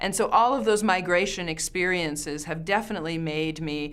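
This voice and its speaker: A woman with a Canadian accent talks at a fairly quick pace in a fairly low pitch. Audible room echo surrounds her voice. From Canada. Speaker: professor. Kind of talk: interview answer.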